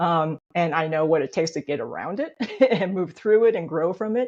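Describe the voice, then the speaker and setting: With an American accent, a woman speaks at a fairly quick pace with ordinary pitch variation. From US, Chinese immigrant family. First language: Chinese. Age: 50s. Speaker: copywriter and children's book author. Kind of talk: interview.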